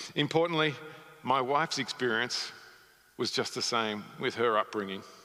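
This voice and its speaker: A speaker with a slight Australian accent talks over noticeable background noise. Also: man. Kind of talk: sermon. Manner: halting, many fillers.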